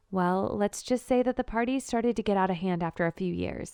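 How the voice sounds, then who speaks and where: With a plain, everyday voice, a woman talks at a fairly quick pace with ordinary pitch variation, the sound dry and close with no echo over a quiet background. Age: 20s. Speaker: storyteller. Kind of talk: first-person story narration.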